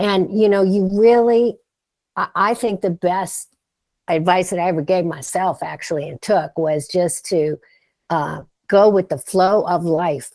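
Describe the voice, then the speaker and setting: At a fairly slow pace, a woman with a medium pitch, a dark, mellow tone and ordinary pitch variation speaks in a very clean recording with a silent background. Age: 60s. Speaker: startup advisor and author. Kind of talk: podcast interview. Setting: studio.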